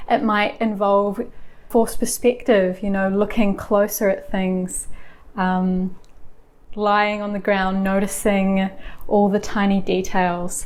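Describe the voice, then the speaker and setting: In a New Zealand accent, a woman talks very slowly at a medium pitch with monotone, flat intonation. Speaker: lifestyle vlogger. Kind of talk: casual talk to camera. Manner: gentle, warm.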